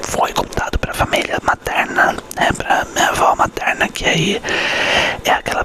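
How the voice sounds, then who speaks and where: Noticeable background noise accompanies a man whispering at a moderate pace. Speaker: ASMR creator. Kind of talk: ASMR storytelling to camera. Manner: whispered.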